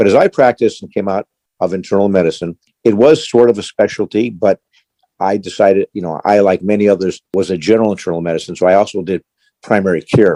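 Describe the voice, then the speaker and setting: The sound is dry and close with no echo. A man talks at a very fast pace in a fairly low, dark, mellow voice. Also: ordinary pitch variation. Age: 70s. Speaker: retired physician. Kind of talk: interview. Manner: halting, with frequent repetitions.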